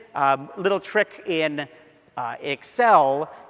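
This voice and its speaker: A man's pitch swings very widely. Noticeable background noise runs underneath. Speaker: software trainer. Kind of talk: lecture. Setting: stage with audience. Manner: fast.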